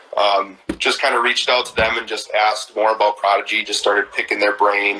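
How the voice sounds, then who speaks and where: A man speaks with a Midwestern accent. There is noticeable background noise. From Wisconsin, Sheboygan. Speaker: disc golf brand street team member. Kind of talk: casual interview chat. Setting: live video stream.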